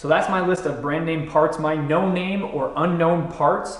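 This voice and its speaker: A man with a high-pitched voice speaks over noticeable background noise, with audible room echo. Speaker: car build youtuber. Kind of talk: tutorial.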